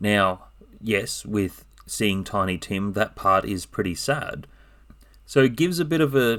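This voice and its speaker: An unremarkable speaking voice from a man, fairly low in pitch, with lively intonation and a fairly slow pace on a very clean recording with a silent background. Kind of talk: casual book review talk.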